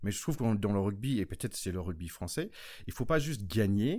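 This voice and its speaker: A man with a fairly low voice talks, his pitch varying in an ordinary way. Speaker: podcast host, former American football player. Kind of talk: casual chat.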